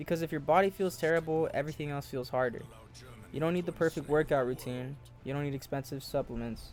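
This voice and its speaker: Music plays in the background while the speaker talks at a very fast pace with fairly even intonation. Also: man, fairly high pitch for a man. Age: 20s. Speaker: self-improvement content creator. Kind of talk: motivational talk to camera.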